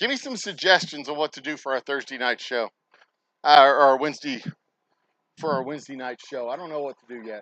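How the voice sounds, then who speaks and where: A man shouts in a raspy, put-on character voice at a fairly quick pace, his fairly high pitch carried through big swings in loudness, long and frequent pauses, and a dry, close sound with no echo. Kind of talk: casual podcast talk. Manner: yelling.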